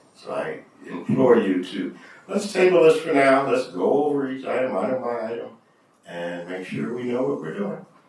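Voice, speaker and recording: Audible room echo mixed with clear background noise. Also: man. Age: 60s. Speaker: school board trustee. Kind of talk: public meeting discussion. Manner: halting.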